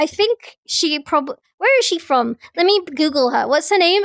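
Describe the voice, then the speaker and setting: A woman with an English accent speaks at an extremely high pitch, her pitch swinging very widely. Her pace is moderate, and the sound is dry and close with no echo. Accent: received pronunciation. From England. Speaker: streamer. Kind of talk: casual chat. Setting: live stream with chat. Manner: animated.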